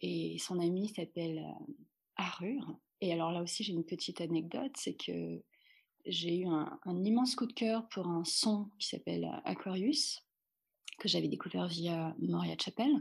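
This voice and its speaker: A woman talks at a fairly slow pace with long, frequent pauses, in a very clean recording with a silent background. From France. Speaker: dancer and dance teacher. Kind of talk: casual interview. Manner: halting, many fillers.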